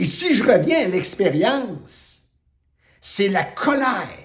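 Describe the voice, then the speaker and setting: A man speaks loudly at an extremely high pitch. His pitch swings very widely. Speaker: spiritual teacher. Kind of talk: spiritual talk. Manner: forceful.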